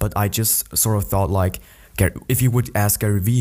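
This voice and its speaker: A man talks at a fairly quick pace in a dark, mellow tone with fairly even intonation. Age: 20s. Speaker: podcaster. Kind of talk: casual monologue. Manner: hesitant, many fillers.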